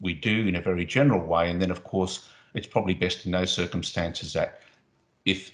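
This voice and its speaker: A man talks at a very fast pace with an Australian accent. His pitch is very deep and low. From Australia (arrived as young child, grew up there in the sixties). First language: Spanish. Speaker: anti-discrimination agency official. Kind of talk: interview. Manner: hesitant, many fillers.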